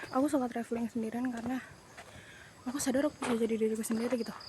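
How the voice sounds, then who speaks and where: Noticeable background noise runs through the clip. The speech moves at a very fast pace. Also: woman. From Sumatra, Jambi (Tebo). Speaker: travel vlogger. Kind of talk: casual vlog talk. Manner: animated.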